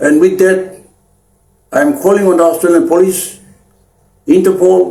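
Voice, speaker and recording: At a moderate pace broken by long, frequent pauses, a man with a high pitch uses lively intonation and very even loudness. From Papua New Guinea, Chimbu highlands. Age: 60s. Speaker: anti-corruption activist leader. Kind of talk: public appeal speech. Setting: Facebook live stream. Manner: halting with repeated words and fillers.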